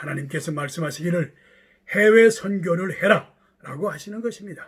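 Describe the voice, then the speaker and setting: Here a man talks at a moderate pace. His pitch is high, with ordinary pitch variation. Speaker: pastor. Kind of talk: sermon. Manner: formal.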